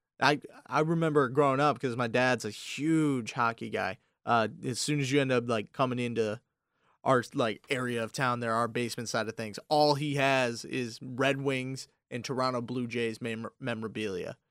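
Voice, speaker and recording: In an unremarkable speaking voice, a man speaks at a moderate pace and medium pitch with fairly even intonation, on a very clean recording with a silent background. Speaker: college radio co-host. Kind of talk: casual chat. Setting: studio.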